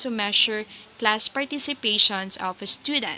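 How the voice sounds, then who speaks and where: With a Filipino accent, a woman talks at a moderate pace. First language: Tagalog. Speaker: teacher. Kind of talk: lecture. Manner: code-switching Tagalog and English.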